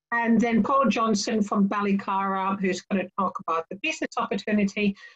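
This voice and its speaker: With music in the background, a woman speaks at a moderate pace with ordinary pitch variation. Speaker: webinar MC. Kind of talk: webinar moderation. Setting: online webinar. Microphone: video call.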